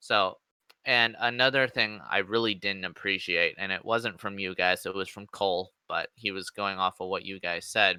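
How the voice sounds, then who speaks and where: A man speaks loudly in a bright, sharp tone at a fairly low pitch and a moderate pace. His intonation is fairly even, and the recording is very clean with a silent background. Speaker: gamer, game server staff member. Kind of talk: casual chat. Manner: rhythmic cadence.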